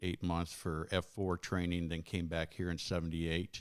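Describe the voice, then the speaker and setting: On a very clean recording with a silent background, a man with a very deep, low pitch speaks at a moderate pace with an American accent. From Arizona, Phoenix. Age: 60s. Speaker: congressional candidate, retired military officer. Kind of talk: interview.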